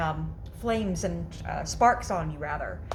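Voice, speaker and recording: Audible room echo surrounds the voice of a woman as she speaks. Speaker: DIY workshop presenter. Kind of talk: tutorial. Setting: garage workshop. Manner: loud; halting, many fillers.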